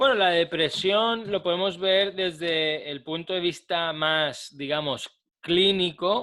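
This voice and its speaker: A man talks very slowly in a high pitch, his pitch varying in an ordinary way. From Spain, Málaga. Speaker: psychotherapist. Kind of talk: interview.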